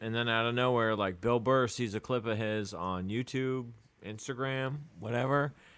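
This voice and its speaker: A man's medium-pitched voice proceeds at a moderate pace. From England, moved to St. Louis at ten. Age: 30s. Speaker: stand-up comedian. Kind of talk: casual chat.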